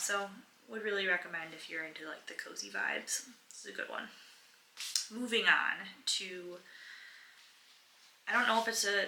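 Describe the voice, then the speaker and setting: Soft-spoken, a woman talks at a moderate pace with long, frequent pauses and big swings in loudness, over noticeable background noise and audible room echo. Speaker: book vlogger. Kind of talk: casual vlog talk to camera.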